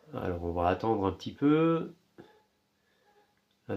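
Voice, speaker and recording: A man speaks with a slight Alsatian accent at a fairly slow pace. His pitch swings very widely. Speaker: appliance repair youtuber. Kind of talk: repair tutorial. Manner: hesitant, many filler sounds.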